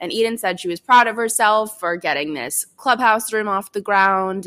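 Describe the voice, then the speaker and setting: In a bright, sharp tone, a woman with an American accent speaks at a moderate pace with ordinary pitch variation, the recording dry and close with no echo. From Chicago suburbs, US Midwest. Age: 20s. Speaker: marketing agency founder. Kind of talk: casual interview chat.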